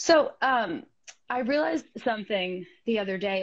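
Against a quiet background, a woman talks with very wide pitch swings. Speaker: comedy podcast co-host. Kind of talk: comedic stand-up style bit. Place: home room.

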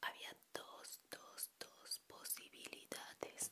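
A woman's voice over noticeable background noise. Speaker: educational vlogger. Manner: soft close-mic ASMR whisper. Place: home room. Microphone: handheld.

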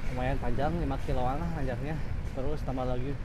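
A man talks at a fairly quick pace with a dry sound and no echo, amid noticeable background noise. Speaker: cyclist vlogger. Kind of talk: casual vlog chat. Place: bicycle. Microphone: phone near.

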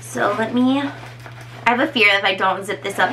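Light background noise sits under a woman's speech. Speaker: personal trainer. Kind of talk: casual vlog chat. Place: home room. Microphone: camera far.

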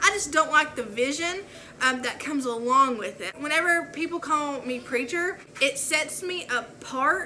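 A woman with a high pitch and a bright, sharp tone talks at a fairly slow pace with lively intonation and few pauses.

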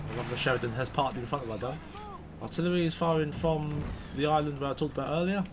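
A man with a fairly high pitch and ordinary pitch variation speaks as noticeable background noise runs underneath. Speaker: gaming YouTuber. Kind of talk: casual gameplay commentary and review. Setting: recorded gameplay voiceover. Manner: casual, sarcastic.

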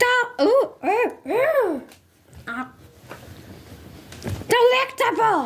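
A cartoonish character voice speaks at an extremely high pitch. The pace is very slow, with long, frequent pauses. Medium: puppet. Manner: bossy.

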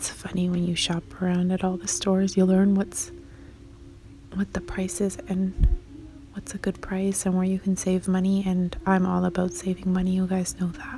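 The pace is moderate and the sound is dry with no echo. Light background noise sits underneath. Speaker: shopping vlogger. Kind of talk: casual vlog chat. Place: shop. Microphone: phone near.

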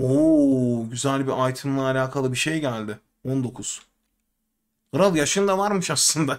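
The speaker goes at a very slow pace with ordinary pitch variation. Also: man. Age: 30s. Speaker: gaming streamer. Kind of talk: live game commentary. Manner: casual. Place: home room.

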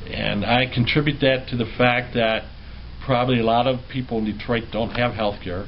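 Moderate pace from a man, light background noise behind. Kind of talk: interview answer. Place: office. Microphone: camera far.

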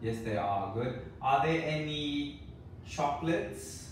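Audible room echo colors a man's slow delivery. His intonation is lively. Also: fairly high pitch for a man.

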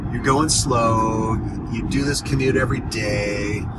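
A man speaks with ordinary pitch variation. The sound is dry with no echo, over loud background noise. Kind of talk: casual vlog chat. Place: car. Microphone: phone near.

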